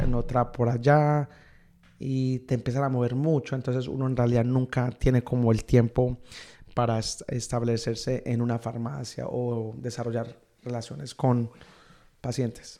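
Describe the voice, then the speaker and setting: Over a very clean recording with a silent background, a man speaks at a fairly slow pace in a dark, mellow tone with monotone, flat intonation. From Miami, US (raised from age 9; born Medellín, Colombia). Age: 30s. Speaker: pharmacist. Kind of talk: interview. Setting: in person in Montreal.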